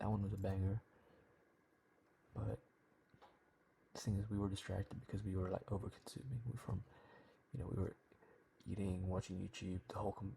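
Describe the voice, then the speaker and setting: A man whispers in a somewhat breathy voice. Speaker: trading vlogger. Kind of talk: video diary. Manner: whispering; casual.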